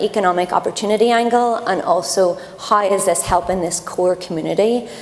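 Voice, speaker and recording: A woman's voice sits at medium pitch. Behind it there is noticeable background noise. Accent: Irish. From Ireland. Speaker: tech company program lead on a panel. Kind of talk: panel discussion.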